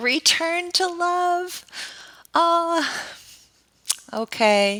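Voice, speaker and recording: A woman's raised, projected voice sits at an extremely high pitch. Her tone is bright and sharp, with very wide pitch swings. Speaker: trauma-informed therapist and author. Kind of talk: interview testimony. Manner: heavy, earnest tone; halting with fillers.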